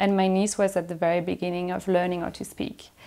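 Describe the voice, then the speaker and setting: In a French accent, a woman speaks at a fairly quick pace and medium pitch. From Belgium, Brussels. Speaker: filmmaker. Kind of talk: interview.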